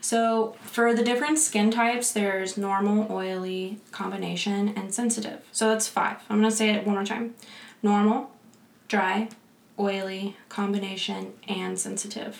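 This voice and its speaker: Over noticeable background noise, a woman with an American accent speaks in a monotone, flat intonation. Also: medium pitch for a woman, moderate pace. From Pensacola, Florida. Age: 20s. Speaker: esthetician, podcast co-host, former military. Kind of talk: casual chat, podcast.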